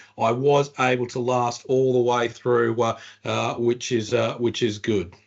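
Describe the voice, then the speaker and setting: A medium-pitched male voice at a fairly slow pace, with monotone, flat intonation. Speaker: company executive. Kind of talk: webinar presentation. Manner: halting, many fillers.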